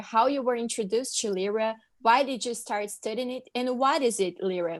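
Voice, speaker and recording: A woman with a Brazilian accent, moderate pace and fairly even intonation, in a quiet background. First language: Portuguese. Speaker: student podcast co-host. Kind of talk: interview.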